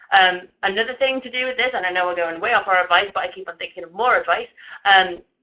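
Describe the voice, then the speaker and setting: Here a woman talks with a medium pitch. The variation in her pitch is ordinary. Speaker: webinar presenter. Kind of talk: webinar presentation. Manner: fast.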